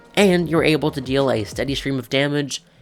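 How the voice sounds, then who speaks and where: The speaking pace is moderate. Background music can be heard. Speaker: gaming video creator. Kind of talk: game commentary narration.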